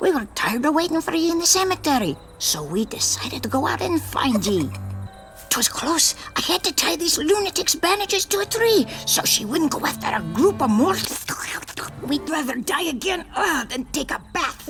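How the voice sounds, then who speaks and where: A cartoonish character voice speaks at a moderate pace while music plays clearly in the background. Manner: boisterous, blustering, laughing.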